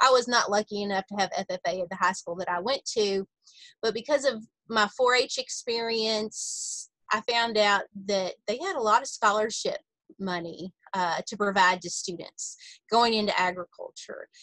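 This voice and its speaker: A woman speaks at a moderate pace in a fairly high pitch with ordinary pitch variation and a bright, sharp tone, the sound dry with no echo over a quiet background. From Kentucky. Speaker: executive director of an agricultural education nonprofit. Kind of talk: interview. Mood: friendly, upbeat. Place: office. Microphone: video call.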